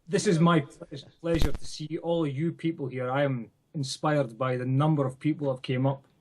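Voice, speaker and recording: A man with a Scottish accent speaks at a fairly quick pace in a somewhat breathy voice, his intonation fairly even. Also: fairly high pitch for a man. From Scotland. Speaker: event organizer. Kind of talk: remote remarks to audience.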